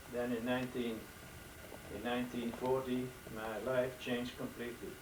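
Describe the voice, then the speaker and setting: A man talks at medium pitch and a moderate pace, his intonation monotone and flat. The room echo is audible and the background noise noticeable. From Netherlands. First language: Dutch. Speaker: elderly father telling life story. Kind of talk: testimony. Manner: halting.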